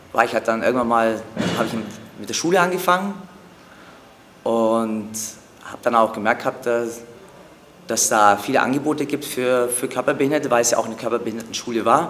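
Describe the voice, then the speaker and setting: A voice at a moderate pace, broken up by long, frequent pauses. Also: man. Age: 40s. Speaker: acrobatic dancer. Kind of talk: interview. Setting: training gym. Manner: hesitant with fillers.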